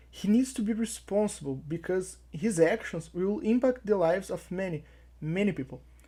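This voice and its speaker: In a very clean recording with a silent background, a woman with a non-native accent speaks at a moderate pace and medium pitch, her tone dark, mellow and somewhat breathy, her intonation lively. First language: not English. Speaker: YouTube commentator. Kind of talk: opinion commentary.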